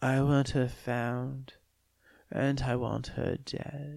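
A soft-spoken, put-on character voice at a very slow pace, pitched low-to-middle. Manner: soft-spoken, menacing.

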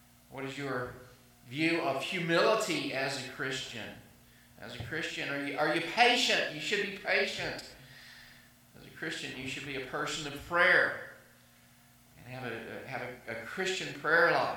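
A man's fairly high-pitched voice at a fairly slow pace, with lively intonation and big swings in loudness, amid audible room echo and noticeable background noise. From US South. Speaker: pastor. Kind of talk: sermon. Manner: halting.

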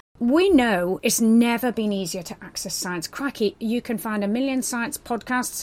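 A woman speaks at a fairly high pitch with lively intonation. Noticeable background noise runs behind her. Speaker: podcast host, science educator. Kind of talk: casual chat, podcast conversation. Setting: small room recorded in a closet.

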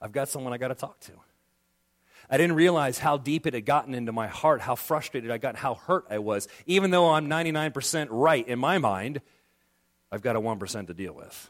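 On a very clean recording with a silent background, a man talks at a fairly quick pace in a medium pitch, with lively intonation and big swings in loudness. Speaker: pastor. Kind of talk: sermon. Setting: church.

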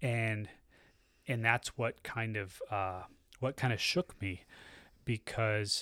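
A man talks in an unremarkable speaking voice at medium pitch, with ordinary pitch variation and a fairly slow pace. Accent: American. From US South, Tallahassee, Florida. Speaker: church member. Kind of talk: testimony.

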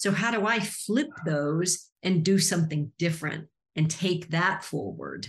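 Somewhat breathy, a woman with a fairly low pitch speaks at a fairly slow pace. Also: ordinary pitch variation. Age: 50s. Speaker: life coach. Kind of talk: casual chat.

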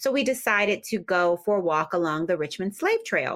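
With a plain, everyday voice, a woman speaks in an American accent at a fairly low pitch and a moderate pace. Her pitch variation is ordinary, and the recording is very clean with a silent background. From US Northeast, Philadelphia. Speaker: novelist, former publicist. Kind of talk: interview.

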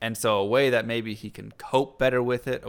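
A man talks at a moderate pace with a medium pitch and an ordinary speaking voice. The recording is very clean, with a silent background. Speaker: podcast host. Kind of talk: casual chat.

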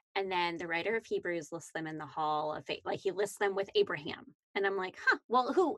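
This woman has an ordinary speaking voice at medium pitch, with lively intonation and a fairly quick pace. She barely pauses, and the sound is dry and close with no echo. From Canada. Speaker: Bible study podcast co-host. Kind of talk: casual Bible discussion.

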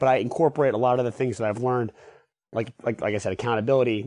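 This man speaks at a medium pitch. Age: 20s. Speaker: athlete with cystic fibrosis and patient advocate. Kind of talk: interview. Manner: halting, frequent fillers.

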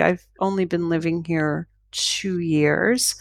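A woman with a Canadian accent uses a plain, everyday voice, fairly low in pitch with fairly even intonation and a dry, close sound with no echo. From Canada, Toronto. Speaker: author and paranormal researcher. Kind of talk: interview. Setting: remote call.

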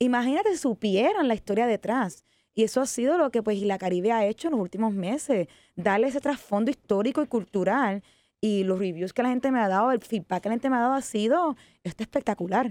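A woman talks very fast at a fairly high pitch with lively intonation and very even loudness, in a dry, close sound with no echo on a very clean recording with a silent background. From Puerto Rico, Ponce. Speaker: tourism entrepreneur. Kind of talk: interview.

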